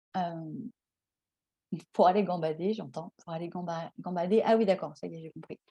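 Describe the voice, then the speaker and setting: A dark, mellow tone with lively intonation. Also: woman. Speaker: tarot card reader. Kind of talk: card reading guidance. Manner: slow; halting, many hesitations.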